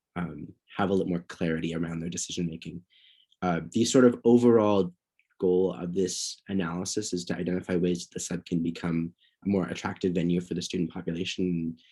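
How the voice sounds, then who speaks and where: Dark and mellow in tone, the voice moves at a fairly quick pace with fairly even intonation and big swings in loudness. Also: man, very deep, low pitch for a man. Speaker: student union board director. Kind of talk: board meeting report. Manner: halting, many fillers.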